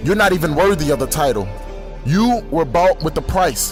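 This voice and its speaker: Music plays in the background as a man talks at a high pitch. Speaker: spoken word poet. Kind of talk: spoken word poetry performance.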